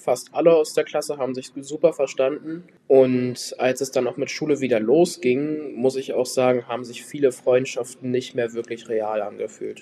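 Using a plain, everyday voice, a man of medium pitch speaks at a moderate pace with fairly even intonation. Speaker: trainee. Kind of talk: recorded testimony.

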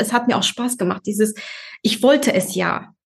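A woman's fairly high voice races along at a very fast speed. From Germany. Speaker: office worker and mother. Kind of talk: interview. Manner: hesitant, many fillers.

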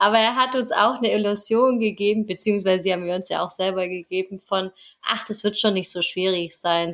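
Female voice, very clean recording, silent background. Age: 20s. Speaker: travel podcaster. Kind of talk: casual chat.

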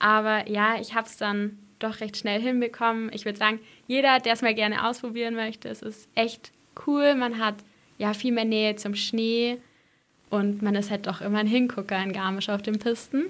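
Speaking in a flat, monotone way, a woman keeps a moderate pace and a fairly high pitch. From Swabian Jura, Baden-Württemberg (near Heidenheim). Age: young. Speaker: ski mountaineering athlete. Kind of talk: interview.

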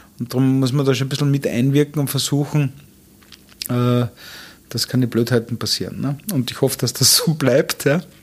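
Over noticeable background noise, a man talks at a moderate pace with fairly even intonation and long, frequent pauses. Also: medium pitch for a man. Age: 50s. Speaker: hotelier and restaurateur. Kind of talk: interview. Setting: hotel suite.

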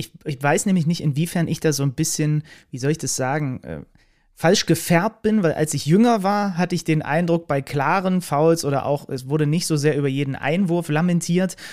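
A plain, everyday voice from a man, fairly high in pitch, with ordinary pitch variation and a fairly quick pace. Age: 30s. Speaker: podcast host and sports commentator. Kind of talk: interview conversation.

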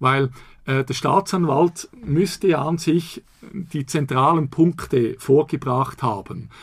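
A man speaks at a very slow pace in a somewhat breathy voice. His pitch is fairly high, with ordinary pitch variation. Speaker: law professor. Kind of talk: interview.

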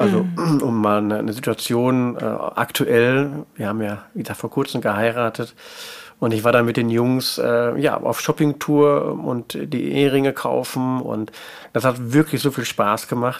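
A man speaks at a fairly slow pace with ordinary pitch variation and a medium pitch. He has a plain, everyday voice. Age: 50s. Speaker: stepfather in a patchwork family. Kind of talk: interview.

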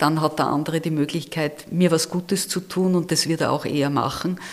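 A woman speaks with a fairly low pitch at a moderate pace. Her intonation is monotone and flat. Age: 60s. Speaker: campaign leader and retired auditor. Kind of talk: interview.

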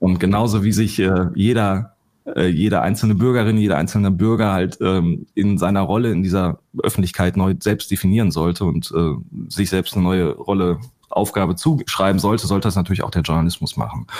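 A fairly quick pace with very even loudness and ordinary pitch variation. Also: man, very deep, low pitch for a man. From Ruhr area, Germany. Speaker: investigative journalist and fact-checker. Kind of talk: podcast discussion.

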